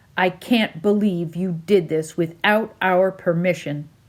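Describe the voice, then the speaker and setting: A woman uses a stern tone at a medium pitch. Her delivery is fairly slow, with fairly even intonation. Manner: stern, reproachful.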